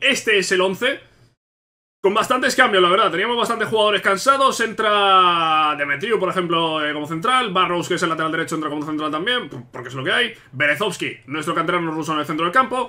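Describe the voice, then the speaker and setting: A raised, projected voice with a bright, sharp tone moves at a fairly quick pace with lively intonation against a quiet background. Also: man. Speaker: gaming youtuber. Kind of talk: casual gameplay commentary. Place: home room.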